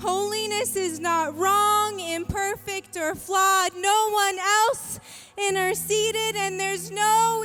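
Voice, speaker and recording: Over music in the background, a woman speaks very slowly in a raised, projected voice, extremely high in pitch, with fairly even intonation. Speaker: spoken word poet. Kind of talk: spoken word poetry performance.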